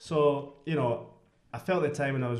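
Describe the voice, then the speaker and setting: A man with a Scottish accent speaks at a fairly high pitch with fairly even intonation, amid noticeable background noise and audible room echo. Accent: very Scottish. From Scotland, Glasgow West End. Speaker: podcast guest. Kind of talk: casual chat. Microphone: speaking too far from the mic.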